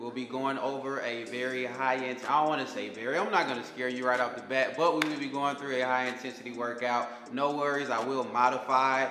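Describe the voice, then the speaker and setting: Amid noticeable background noise, a man speaks fairly quickly in a monotone, flat voice with hardly any pauses. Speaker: personal trainer. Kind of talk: workout instruction. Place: home room. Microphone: lapel.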